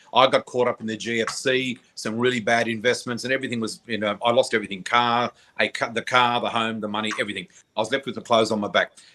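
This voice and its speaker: On a very clean recording with a silent background, a man with an Australian accent speaks at a very fast pace in a bright, sharp tone, with medium pitch and fairly even intonation. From Australia, New South Wales south coast. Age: 60s. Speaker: psychic flower reader. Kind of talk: interview, personal story.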